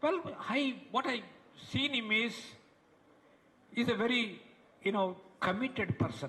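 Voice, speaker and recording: Raising and projecting his voice, a man speaks fairly slowly at an extremely high pitch, with ordinary pitch variation and long, frequent pauses. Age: 70s. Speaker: retired professor giving a tribute speech. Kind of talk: ceremonial speech. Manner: halting, many fillers and repetitions.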